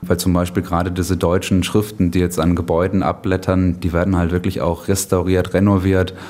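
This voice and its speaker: A man's very deep, low voice, fairly quick and monotone, flat, with very even loudness, hardly any pauses and noticeable background noise. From Germany. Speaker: author and blogger about a city. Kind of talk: interview.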